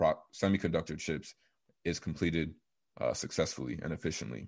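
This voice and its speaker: A man with an American accent speaks in a very deep, low pitch. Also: quiet background. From Texas, Dallas area. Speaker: mechanical engineer and real estate investor. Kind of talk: interview.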